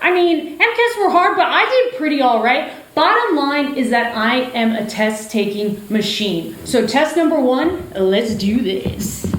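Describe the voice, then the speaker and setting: A woman's high voice at a very slow pace, very wide pitch swings, hardly any pauses, and noticeable background noise. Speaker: doctor and storyteller. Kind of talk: one-person stage show monologue.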